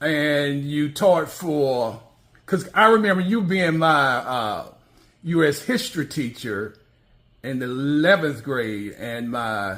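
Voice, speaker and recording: A man at a very slow pace, fairly high in pitch, with lively intonation. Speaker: interviewer. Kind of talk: interview questions.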